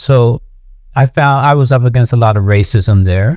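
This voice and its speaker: A man with an American accent and a dark, mellow tone, at a moderate pace. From US Northeast, Philadelphia. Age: 70s. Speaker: artist. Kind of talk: interview. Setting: podcast. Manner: halting, with repetitions.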